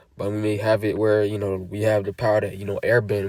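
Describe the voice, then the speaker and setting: A man's voice runs at a very fast pace. It sits fairly low, with monotone, flat intonation. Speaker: religious teacher. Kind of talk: sermon. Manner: casual; halting.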